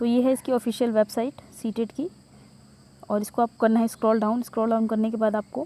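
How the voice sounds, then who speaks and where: The sound is dry and close, with no echo. A woman speaks at a moderate pace in a fairly high, monotone, flat voice. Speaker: job news youtuber. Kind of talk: tutorial. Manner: hesitant, with fillers.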